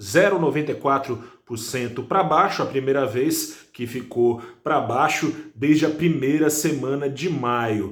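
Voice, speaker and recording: Soft-spoken and at a fairly high pitch, this man talks at a fairly slow pace with ordinary pitch variation. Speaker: financial news presenter. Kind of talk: market news commentary. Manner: speaking softly.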